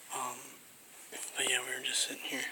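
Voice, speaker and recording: Whispering sits over noticeable background noise. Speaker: nature vlogger. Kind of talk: casual vlog. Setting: outdoors at nature center. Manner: quiet.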